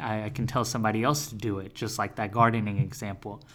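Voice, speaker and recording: The man's voice has a bright, sharp tone, delivered at a moderate pace. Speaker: podcast co-host. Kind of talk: casual podcast chat.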